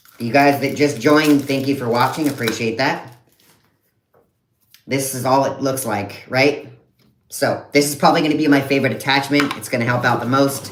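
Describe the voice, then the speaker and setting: Speaking at a moderate pace with long, frequent pauses, a man with a fairly high pitch and fairly even intonation is heard against audible room echo. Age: 30s. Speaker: content creator. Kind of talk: live stream unboxing. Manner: casual.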